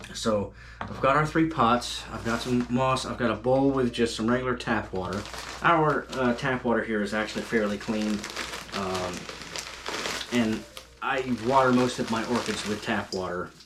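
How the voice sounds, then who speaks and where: Noticeable background noise sits under a voice with an American accent, a moderate pace and ordinary pitch variation. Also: man, medium pitch for a man. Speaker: gardening YouTuber. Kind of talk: tutorial. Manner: casual, hesitant with fillers.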